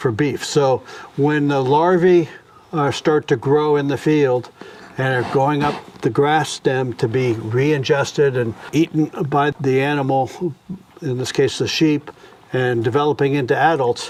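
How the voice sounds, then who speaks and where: Against noticeable background noise, a man with a fairly high pitch talks at a fairly slow pace with fairly even intonation. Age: 70s. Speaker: farmer. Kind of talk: interview.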